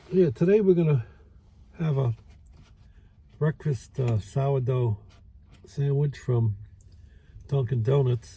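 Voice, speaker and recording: The voice has a relaxed tone in a Brooklyn accent. It moves at a very slow pace, with long, frequent pauses. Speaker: food reviewer. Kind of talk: casual food review vlog. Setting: outdoors by a lake. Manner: relaxed, hesitant with fillers.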